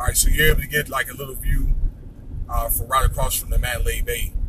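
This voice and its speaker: The voice is a man's. Noticeable background noise is heard. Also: dry sound with no echo. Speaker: local vlogger filming while driving. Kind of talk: casual vlog commentary. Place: car. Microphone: phone near.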